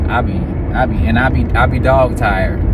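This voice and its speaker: Loud background noise surrounds a man speaking. The sound itself is dry, with no echo. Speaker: vlogger. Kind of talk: casual vlog chat. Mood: concerned, reflective. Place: car. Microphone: phone near.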